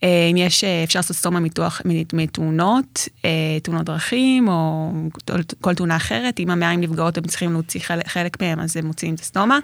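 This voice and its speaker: Using a plain, everyday voice, a woman talks at a fairly quick pace and a fairly low pitch with ordinary pitch variation. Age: 30s. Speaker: tour guide and Crohn's patient. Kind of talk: interview.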